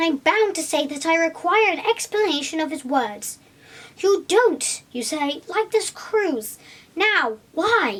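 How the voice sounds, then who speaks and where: A woman puts on a squeaky character voice. Her pitch swings very widely as she talks at a fairly slow pace. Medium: read story. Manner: measured, reasonable.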